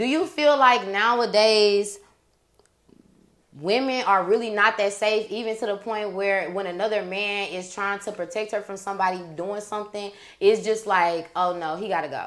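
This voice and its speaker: In an American accent, a woman with a normal speaking voice talks at a moderate pace with ordinary pitch variation. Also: medium pitch for a woman. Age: young. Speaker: podcast host. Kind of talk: casual chat.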